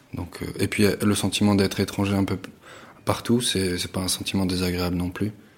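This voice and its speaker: A man speaks with a very deep, low pitch at a moderate pace. His intonation stays monotone and flat. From United States and Tunisia. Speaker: visual artist. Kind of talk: interview. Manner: halting, many repetitions and fillers.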